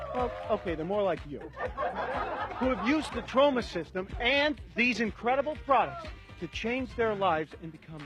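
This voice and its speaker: With music playing in the background, a man speaks at a high pitch and moderate pace, his pitch swinging very widely and his loudness rising and falling sharply. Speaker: radio personality, talk show host. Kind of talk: infomercial host talk. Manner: upbeat.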